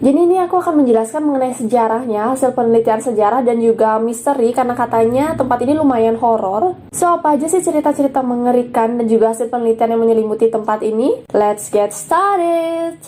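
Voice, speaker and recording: Over noticeable background noise, a woman speaks at a high pitch and a very fast pace with hardly any pauses and very even loudness. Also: ordinary pitch variation. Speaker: YouTuber. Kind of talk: explainer vlog. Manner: casual, chatty.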